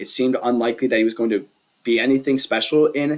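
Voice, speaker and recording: Very fast speech from a man at a medium pitch with fairly even intonation. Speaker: sports YouTuber, basketball commentator. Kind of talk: casual monologue analysis. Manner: hesitant, many fillers.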